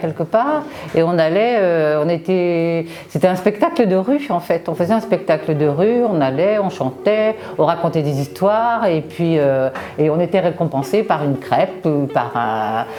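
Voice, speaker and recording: Speaking at a fairly slow pace and a fairly low pitch, a woman uses lively intonation against noticeable background noise. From Brittany, France. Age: 60s. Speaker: amateur theatre participant. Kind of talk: interview testimony. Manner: hesitant, many fillers.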